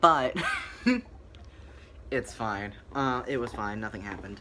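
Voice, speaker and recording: Using a bright, sharp tone, a man with a fairly low pitch speaks at a fairly slow pace. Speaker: vlogger. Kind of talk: casual chat. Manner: hesitant, many fillers.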